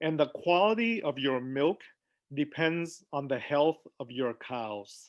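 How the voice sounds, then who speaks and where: Speaking very slowly with a non-native accent, a man uses a fairly high pitch and lively intonation. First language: not English. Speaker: physician. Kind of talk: health talk on a video call. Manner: casual, conversational.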